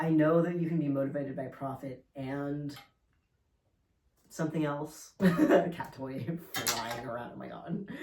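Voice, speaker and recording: The pace is fairly slow. Long, frequent pauses break up the speech. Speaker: video blogger. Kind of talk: casual monologue. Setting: home, standing, playing with cat. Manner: hesitant, many fillers.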